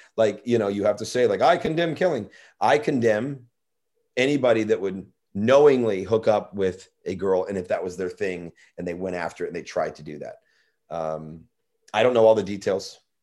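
An ordinary speaking voice moves at a moderate pace with big swings in loudness. The recording is very clean, with a silent background. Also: man, medium pitch for a man, lively intonation. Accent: American. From US Midwest, St. Louis, Missouri. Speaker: actor and stand-up comedian. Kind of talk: casual chat.

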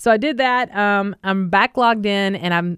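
Over a very clean recording with a silent background, a woman speaks at a medium pitch with ordinary pitch variation. Her tone is animated and the sound is dry and close with no echo. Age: 40s. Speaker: radio podcast co-host. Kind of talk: casual chat. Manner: animated, frequent laughter.

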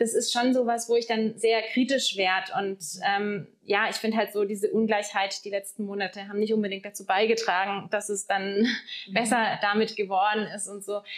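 At a moderate pace, the voice runs in monotone, flat intonation with hardly any pauses. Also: woman, medium pitch for a woman. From southern Germany, Lake Constance. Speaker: guesthouse owner. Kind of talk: casual interview. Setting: in person at her lodge.

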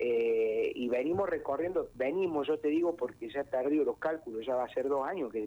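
The man's voice has a dark, mellow tone and moves along at a moderate pace. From Argentina, Córdoba province (Bell Ville). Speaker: folk singer. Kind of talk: interview.

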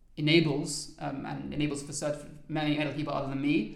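With a southern English accent, a man speaks at a fairly high pitch with vocal fry, and audible room echo is present. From London, England. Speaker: trainee lawyer. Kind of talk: interview.

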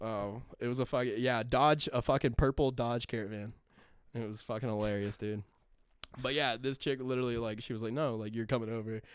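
With an American accent, a man speaks at a medium pitch and a fairly quick pace, keeping his intonation fairly even. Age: 20s. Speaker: podcast host. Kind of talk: casual chat.

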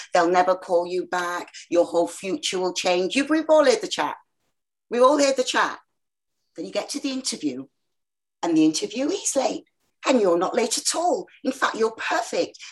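Her pitch swings very widely. The woman talks at a moderate pace. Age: 60s. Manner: animated; talkative.

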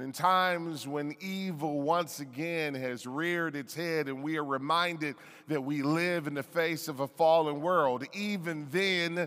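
Bright and sharp in tone, a man with an American accent speaks at a fairly high pitch and a fairly slow pace. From Detroit, US Midwest. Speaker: pastor. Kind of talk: sermon.

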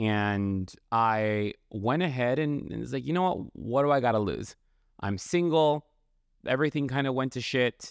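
This man has an ordinary speaking voice, medium in pitch, moving at a fairly slow pace with lively intonation over a quiet background. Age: 30s. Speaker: podcast host. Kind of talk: casual monologue.

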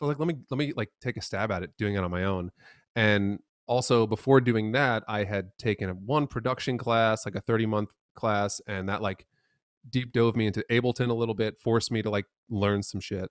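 A man with an American accent has a normal speaking voice at a fairly low pitch, with ordinary pitch variation and a fairly quick pace. The sound is dry and close with no echo against a quiet background. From New York City area (Manhattan, Long Island). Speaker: bassist and producer. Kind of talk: casual chat.

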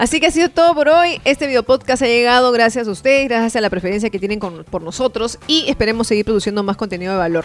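A woman's fairly high voice at a very fast pace, with hardly any pauses and lively intonation. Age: 40s. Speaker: marketing podcast co-host. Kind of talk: casual chat. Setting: video podcast with cameras.

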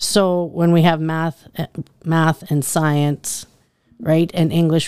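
Very slow and monotone, a woman with a fairly low pitch speaks with flat intonation in a dry, close sound with no echo. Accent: Canadian Prairies. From Saskatchewan, Canada. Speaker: school principal and teacher. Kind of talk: interview.

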